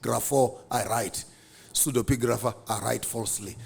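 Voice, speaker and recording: Somewhat breathy, a man speaks at a fairly slow pace. His tone is animated. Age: 50s. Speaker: public speaker and theologian. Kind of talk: podcast interview.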